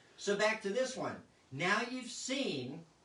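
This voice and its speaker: A man with an American accent speaks at a very slow pace in a raised, projected voice that is high for a man, with audible room echo and noticeable background noise. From Las Vegas, US. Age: 60s. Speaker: magician and live show host. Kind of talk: live show magic tutorial. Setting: live online video show.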